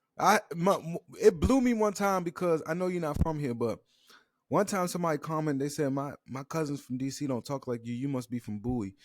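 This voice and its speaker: With an American accent and a fairly high pitch, a man talks at a fairly quick pace in a very clean recording with a silent background and a dry, close sound with no echo. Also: lively intonation. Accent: DC accent comes out when drinking. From Washington DC area. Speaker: podcast host. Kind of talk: casual chat.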